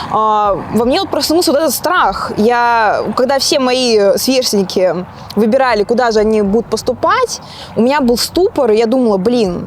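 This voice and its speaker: The speech moves at a moderate pace with lively intonation and very even loudness. Noticeable background noise is present. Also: woman, high pitch for a woman. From Russia. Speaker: interviewee sharing her life story. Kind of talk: interview. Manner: casual, with frequent hesitation fillers.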